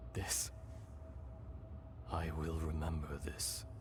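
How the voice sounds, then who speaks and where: A man speaks in a put-on character voice. Loud background noise runs underneath. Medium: machinima. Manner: slow, solemn.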